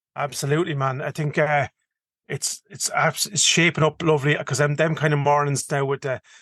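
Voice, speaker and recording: In a strong Irish accent, a man with a fairly high pitch speaks with monotone, flat intonation, the sound dry and close with no echo against a quiet background. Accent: strong rural Irish (Kildare). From Ireland, County Kildare. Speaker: podcast co-host, hunter. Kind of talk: casual chat. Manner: fast.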